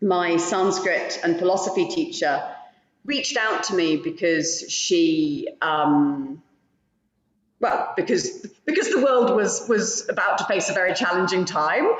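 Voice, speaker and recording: A woman with a British accent speaks at medium pitch and a fairly slow pace. Her loudness stays very even while her pitch swings very widely. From Britain. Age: 40s. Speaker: yoga teacher. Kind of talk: casual chat. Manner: halting.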